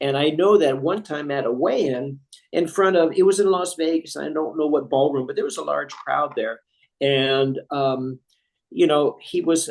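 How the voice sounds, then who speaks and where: Speaking at a fairly slow pace, this is an unremarkable speaking voice with an American accent. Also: man. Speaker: ring announcer. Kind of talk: interview answer.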